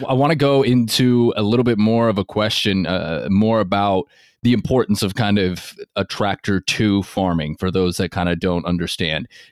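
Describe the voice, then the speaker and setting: A man with an American accent talks in an ordinary speaking voice, fairly low in pitch, at a moderate pace with ordinary pitch variation and very even loudness. The sound is dry and close with no echo, on a very clean recording with a silent background. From US West Coast, Seattle area. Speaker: podcast host. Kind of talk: interview.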